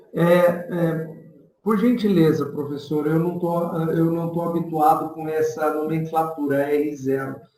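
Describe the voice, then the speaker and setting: Audible room echo surrounds a man who speaks at a fairly slow pace with a fairly high pitch and fairly even intonation. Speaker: professor and author of statistics book on covid. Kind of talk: online presentation and Q&A.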